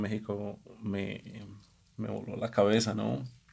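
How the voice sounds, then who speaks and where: A man's fairly low pitch at a very slow pace. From Colombia. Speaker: executive chef. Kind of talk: casual chat. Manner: halting.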